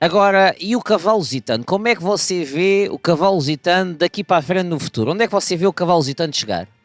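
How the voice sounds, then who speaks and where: With a European Portuguese accent, a man talks at a very fast pace and a high pitch with lively intonation and hardly any pauses, in a dry, close sound with no echo and music in the background. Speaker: podcast host. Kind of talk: interview.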